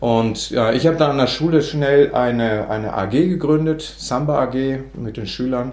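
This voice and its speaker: Through noticeable background noise and audible room echo, a man of medium pitch speaks at a moderate pace with ordinary pitch variation. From northern Germany. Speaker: music education professor. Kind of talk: interview. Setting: office. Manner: halting.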